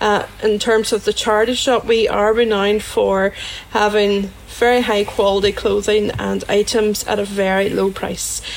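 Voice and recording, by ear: Noticeable background noise runs under a woman's voice. She speaks at a moderate pace in a Northern Irish accent.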